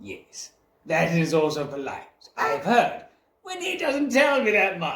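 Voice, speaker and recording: The put-on character voice moves at a fairly slow pace. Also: man, high pitch for a man. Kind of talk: improvised role play. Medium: role play. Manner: pompous, old-fashioned.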